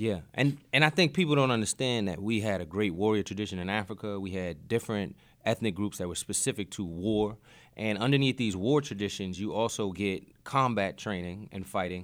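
A man with a normal speaking voice and an American accent talks at a fairly quick pace in a fairly low pitch with ordinary pitch variation. The recording is very clean, with a silent background. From Boston. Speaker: teacher and martial arts instructor. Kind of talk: casual interview.

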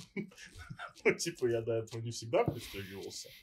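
A somewhat breathy man with very wide pitch swings at a very slow pace. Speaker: podcast co-host. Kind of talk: casual chat.

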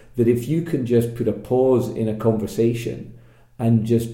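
The voice is dark and mellow, with a Scottish accent and monotone, flat intonation. Room echo is audible. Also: man. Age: 40s. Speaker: podcast host. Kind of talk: casual interview chat.

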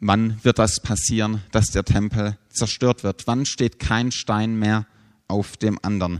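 Dry and close with no echo, a man's fairly low voice moves at a very slow pace. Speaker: preacher. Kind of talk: sermon, preacher addressing a congregation, teaching and explaining scripture. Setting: church. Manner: earnest, measured and explanatory, then solemn when reading scripture.

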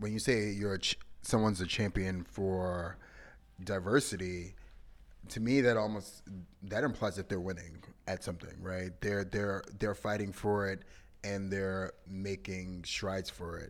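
A man speaks at a fairly slow pace with a fairly low pitch and a plain, everyday voice. The recording is very clean, with a silent background. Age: 30s. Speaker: podcast co-host. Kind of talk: casual chat.

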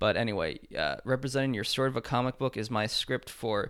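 Vocal fry marks this man's medium-pitched voice, which has ordinary pitch variation and a moderate pace on a very clean recording with a silent background. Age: 20s. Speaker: podcast host giving tarot readings. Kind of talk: casual tarot reading chat; read-out ad. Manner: halting, many fillers.

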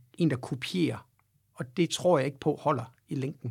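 In a very clean recording with a silent background, a man talks with lively intonation. His voice is somewhat breathy and fairly high in pitch. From Denmark, Aarhus. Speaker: rock guitarist and singer. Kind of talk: casual interview.

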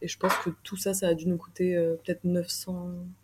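A woman speaks at a fairly low pitch in a monotone, flat intonation. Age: 20s. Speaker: traveller. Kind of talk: interview. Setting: hostel common room.

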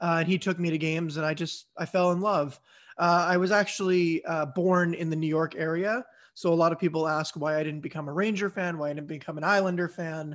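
A man with an American accent talks at a fairly quick pace and high pitch, with fairly even intonation, on a very clean recording with a silent background. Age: 20s. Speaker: YouTube content creator, sports fan. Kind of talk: casual chat.

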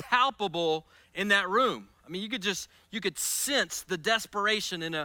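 Someone reads the text aloud in a natural voice.

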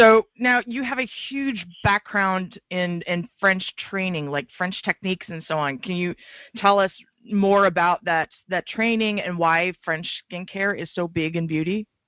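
A woman speaks at a fairly slow pace in an ordinary speaking voice, her medium pitch showing ordinary variation. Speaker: podcast host. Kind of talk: interview.

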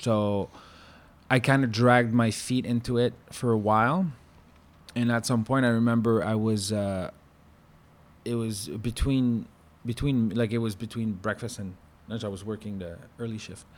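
A man speaks at a moderate pace and a medium pitch. His intonation is fairly even, with long, frequent pauses. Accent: French-Canadian. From Quebec. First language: French. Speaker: former chef. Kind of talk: casual chat.

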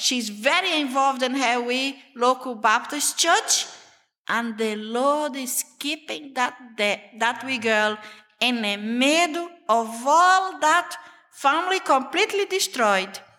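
A raised, projected voice, bright and sharp in tone, with lively intonation at a very slow pace. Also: woman, high pitch for a woman. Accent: Brazilian Portuguese. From Brazil, Amazon jungle region. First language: Portuguese. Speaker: missionary. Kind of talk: testimony. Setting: church meeting with audience.

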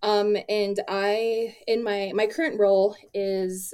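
The speaker is a woman with an American accent. She keeps her intonation flat and monotone. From Crow Reservation, Montana. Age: 20s. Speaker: museum curator. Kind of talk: interview.

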